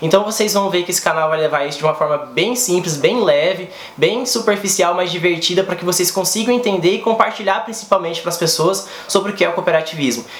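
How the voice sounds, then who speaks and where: A man talks very fast in a high voice with hardly any pauses and ordinary pitch variation. Background noise is noticeable. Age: 30s. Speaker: cooperative educator, YouTuber. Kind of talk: vlog monologue.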